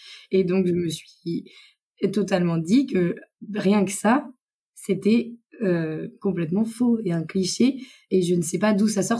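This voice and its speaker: A woman talks at a fairly slow pace with a medium pitch. Her tone is dark and mellow and somewhat breathy. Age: 20s. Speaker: tourism worker. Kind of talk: casual chat.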